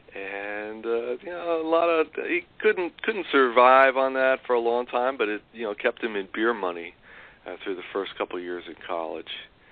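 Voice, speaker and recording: A medium-pitched man in a New York accent at a moderate pace. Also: lively intonation. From New York City. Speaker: co-author of a memoir. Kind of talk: interview. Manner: halting, many fillers and repeats.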